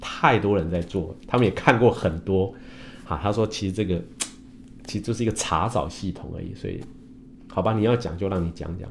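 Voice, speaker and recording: A man speaks at a fairly quick pace and fairly low pitch, his voice somewhat breathy with ordinary pitch variation. His loudness swings widely, and he leaves long, frequent pauses. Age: 50s. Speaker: Chinese medicine doctor and engineer. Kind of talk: livestream talk. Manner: many filler sounds.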